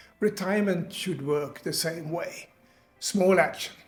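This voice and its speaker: Music plays in the background as a man talks. His pitch is high, with ordinary variation. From Sweden. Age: 70s. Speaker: retiree, online business coach. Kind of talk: motivational talk to camera.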